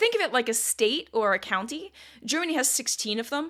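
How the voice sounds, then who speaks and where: Bright and sharp in tone, a voice with a Northeastern American accent moves at a fairly quick pace with lively intonation. The recording is very clean with a silent background. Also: woman. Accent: Northeast American. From Northeast US. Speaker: history podcast host. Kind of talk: solo history podcast narration. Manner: casual, conversational.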